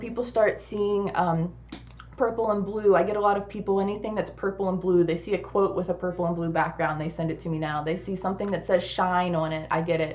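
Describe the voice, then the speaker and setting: Noticeable background noise sits behind a woman's voice. She talks at a fairly quick pace with fairly even intonation. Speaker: guest speaker on branding and web design. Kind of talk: online workshop presentation. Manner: fast.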